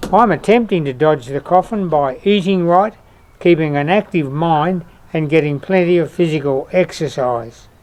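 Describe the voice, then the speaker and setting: Moderate pace and ordinary pitch variation from a man with a fairly high voice and an Australian accent. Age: 80s+. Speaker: retired traveller and vlogger. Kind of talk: scripted narration.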